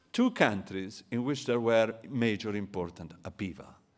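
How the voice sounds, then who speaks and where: In a very clean recording with a silent background, a man speaks. He has an Italian accent and a moderate pace. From Italy. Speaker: economist. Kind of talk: lecture.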